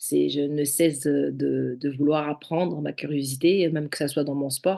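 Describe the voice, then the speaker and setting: A woman with a non-native accent speaks at a moderate pace over a quiet background. Her pitch is very deep and low, her tone dark and mellow. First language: not French (speaking French). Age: 40s. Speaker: judo athlete, former firefighter. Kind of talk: podcast interview. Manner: hesitant, many fillers.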